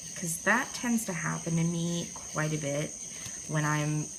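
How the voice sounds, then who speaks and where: A woman with an American accent at a fairly slow pace and fairly even intonation, amid noticeable background noise and audible room echo. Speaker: art journaling tutorial host. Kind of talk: tutorial. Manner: casual, chatty with fillers.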